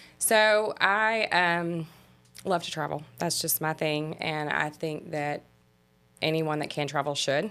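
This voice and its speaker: A woman with a Mississippi accent and a very deep, low pitch, speaking at a very slow pace over music in the background. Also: ordinary pitch variation. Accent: Southern US, Mississippi. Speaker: travel agent. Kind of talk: interview.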